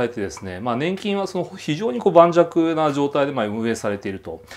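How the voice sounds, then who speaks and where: Talking at a very fast pace, a man swings his pitch very widely. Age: 40s. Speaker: commentator and blogger; economic commentator. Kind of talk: monologue commentary; commentary. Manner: casual, hesitant with many fillers. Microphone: phone near.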